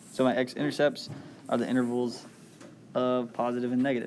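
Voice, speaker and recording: At a medium pitch, a man speaks in a soft-spoken way. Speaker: math review presenter. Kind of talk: tutorial. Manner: casual.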